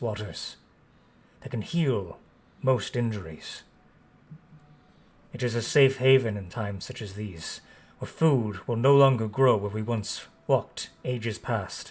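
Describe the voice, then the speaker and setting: A man uses a gruff, put-on character voice at a medium pitch. He talks fairly slowly, with long, frequent pauses. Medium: actual play. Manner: slow, formal, solemn.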